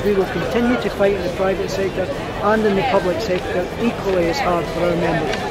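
Crowd noise fills the background. A man speaks at a fairly quick pace. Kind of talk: interview answer. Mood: earnest, measured. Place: street.

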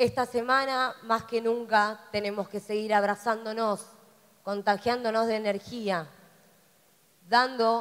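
A woman speaks very slowly, her fairly high pitch carried by fairly even intonation. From Argentina. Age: young. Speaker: city councillor and student. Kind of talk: speech.

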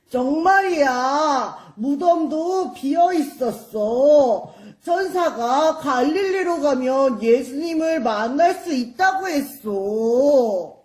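A high-pitched, cartoonish character voice speaks at a very slow pace. There are hardly any pauses. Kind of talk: children's church puppet show. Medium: puppet.

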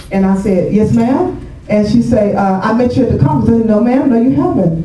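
A woman talks at a fairly quick pace. The room echoes audibly, with light noise in the background. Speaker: guest pastor. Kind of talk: sermon.

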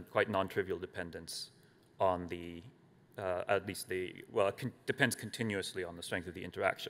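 A man's voice with ordinary pitch variation. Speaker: conference presenter. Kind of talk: lecture. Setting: stage with audience. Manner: halting. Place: hall. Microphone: podium.

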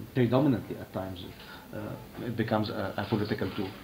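A man at a very fast pace, with ordinary pitch variation and light background noise. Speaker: UN official; speaker. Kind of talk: panel talk. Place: meeting room. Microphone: podium.

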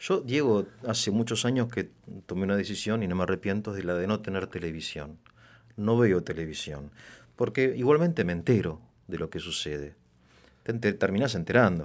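Against a quiet background, a man with a fairly low pitch talks at a moderate pace, his lively intonation punctuated by long, frequent pauses. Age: middle-aged. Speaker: interviewer. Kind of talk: interview. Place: studio. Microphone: studio mic.

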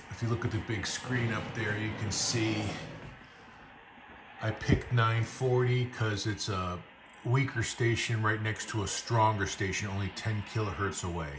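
Music plays in the background. A man with a fairly low pitch talks at a fairly slow pace with fairly even intonation. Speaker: radio hobbyist. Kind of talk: casual review vlog. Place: home room.

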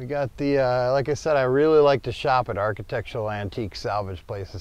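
A man talks fairly quickly with an American accent and ordinary pitch variation. The sound is dry, with no echo. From Minnesota. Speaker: van owner and customizer. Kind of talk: casual show-and-tell tour. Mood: relaxed, proud.

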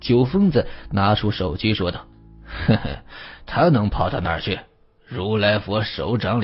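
Someone reads a text aloud. The delivery has a natural sound.

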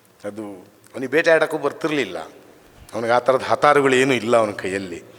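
Noticeable background noise behind a man at medium pitch with lively intonation. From Karnataka, semi-urban workers' colony. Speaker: writer and scholar. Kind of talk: memorial speech. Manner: halting.

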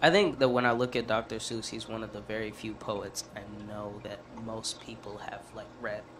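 A man speaks at a moderate pace in a monotone, flat intonation. His loudness swings widely over noticeable background noise. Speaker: podcast co-host. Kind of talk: casual chat. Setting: studio. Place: studio. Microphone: studio mic.

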